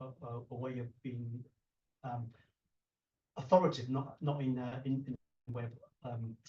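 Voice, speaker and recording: Speaking at a moderate pace with long, frequent pauses, a man uses a medium-pitched, somewhat breathy voice with a dark, mellow tone and fairly even intonation. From UK. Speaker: martial arts channel host, interviewer. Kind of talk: interview. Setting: guest's place in Hong Kong. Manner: halting, many fillers and repeats.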